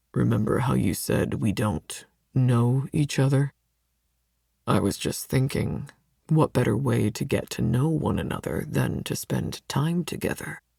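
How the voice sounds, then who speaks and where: Here a man performs a put-on character voice at medium pitch. His intonation is lively and his pace moderate. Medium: read story. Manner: smug, domineering.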